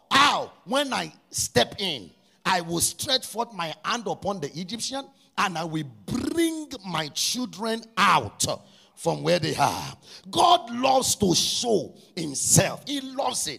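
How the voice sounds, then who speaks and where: Against noticeable background noise, a man raises and projects his high-pitched voice, moving at a very slow pace with very wide pitch swings. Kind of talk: fervent prayer led before a congregation, with call-and-response. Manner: loud, urgent and commanding, with rhythmic repetition; impassioned, shouting decrees and praise.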